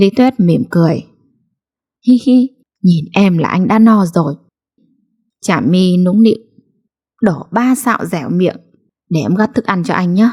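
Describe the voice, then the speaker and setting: A woman with a dark, mellow tone uses lively intonation, leaving long, frequent pauses. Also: medium pitch for a woman. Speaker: story narrator. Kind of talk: late-night read story.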